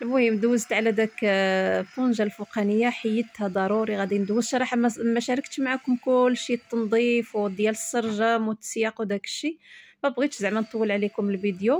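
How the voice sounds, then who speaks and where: A woman with a Moroccan accent at a fairly quick pace, fairly even intonation, hardly any pauses, and a dry sound with no echo. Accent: Moroccan Darija. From Morocco. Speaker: home lifestyle vlogger. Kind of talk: casual vlog narration.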